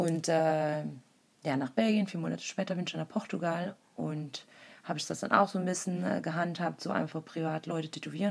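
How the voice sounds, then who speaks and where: Vocal fry runs through this voice, which moves at a fairly quick pace with ordinary pitch variation. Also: woman. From East Belgium, German-speaking village. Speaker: tattoo artist. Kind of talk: casual chat.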